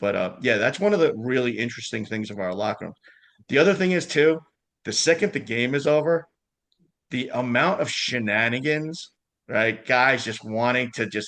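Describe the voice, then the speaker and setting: An animated man with a New York accent, medium pitch, lively intonation and a moderate pace. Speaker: lacrosse club liaison. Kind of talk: casual chat. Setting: podcast interview.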